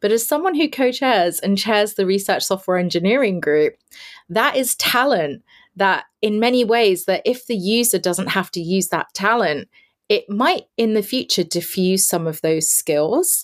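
In a London accent, a woman speaks at a medium pitch and a moderate pace with very even loudness on a very clean recording with a silent background. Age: 40s. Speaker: space industry consultant and community founder. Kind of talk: interview.

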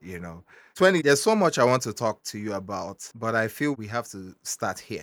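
In a plain, everyday voice, a man speaks at a fairly quick pace with lively intonation and big swings in loudness. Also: medium pitch for a man. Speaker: podcast host. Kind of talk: casual interview.

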